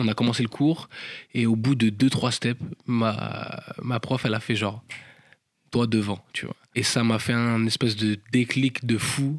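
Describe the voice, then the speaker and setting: A man's unremarkable speaking voice, medium in pitch, with fairly even intonation and a fairly slow pace. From France, Paris suburbs and rural Normandy. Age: 20s. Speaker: professional dancer. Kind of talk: interview, casual chat. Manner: casual with filler words, slang.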